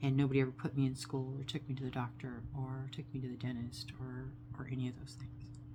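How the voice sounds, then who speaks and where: Her very deep, low voice stays monotone and flat, with audible room echo around the woman speaking. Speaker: vlogger sharing personal story. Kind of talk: personal testimony monologue. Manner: slow.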